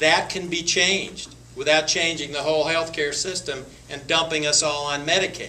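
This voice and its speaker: A man with a fairly high pitch and an American accent talks at a moderate pace, with noticeable background noise and audible room echo. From western North Carolina. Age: 60s. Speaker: congressional candidate. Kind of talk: Q&A at political forum. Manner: halting, many repetitions and fillers.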